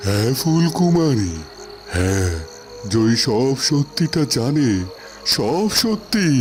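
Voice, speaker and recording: Over clear background noise, a man at medium pitch puts on a cartoonish character voice, speaking very slowly with very wide pitch swings. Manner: grave, slow, fatherly.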